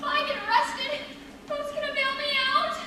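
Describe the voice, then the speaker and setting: A woman does a put-on character voice, squeaky and extremely high-pitched, at a moderate pace. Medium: stage play. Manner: solemn, preachy.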